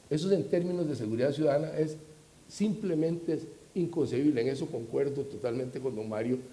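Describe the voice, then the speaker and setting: Fairly high and somewhat breathy, a man's voice moves at a fairly quick pace amid audible room echo. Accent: Costa Rican. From Costa Rica. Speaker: security expert panelist. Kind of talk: panel discussion. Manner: animated.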